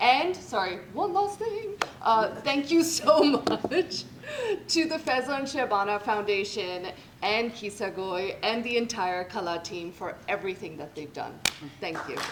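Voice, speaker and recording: A woman with a fairly high voice talks at a fairly slow pace, her pitch swinging very widely and her loudness shifting a lot, with noticeable background noise behind her. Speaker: event moderator. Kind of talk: closing remarks.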